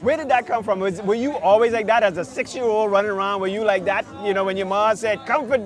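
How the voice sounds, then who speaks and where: Over music in the background, a man with a high pitch and ordinary pitch variation speaks at a very fast pace with hardly any pauses. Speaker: talk show host. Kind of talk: interview. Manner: casual.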